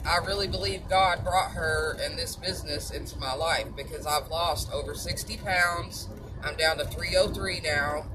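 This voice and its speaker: Fairly slow, nearly pause-free speech in a Southern US accent, animated and upbeat, over noticeable background noise. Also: woman. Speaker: supplement seller and vlogger. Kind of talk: casual monologue with sales pitch. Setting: driving in a car. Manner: animated, chatty, upbeat.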